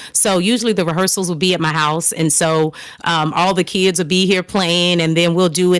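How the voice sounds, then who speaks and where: On a very clean recording with a silent background, a woman with a Southern US accent talks at a fairly quick pace with fairly even intonation. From US South, New Orleans and Texas. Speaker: singer. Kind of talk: interview. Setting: live stream.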